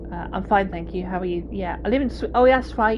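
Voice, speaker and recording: A woman with a Somerset accent, with audible room echo and noticeable background noise. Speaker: video game streamer. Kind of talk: live gameplay commentary with chat. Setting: live stream. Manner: relaxed, hesitant with fillers.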